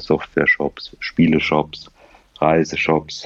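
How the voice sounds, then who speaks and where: A man with a very deep, low pitch speaks at a fairly slow pace over noticeable background noise. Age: 40s. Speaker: fintech founder. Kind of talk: interview. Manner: frequent filler sounds.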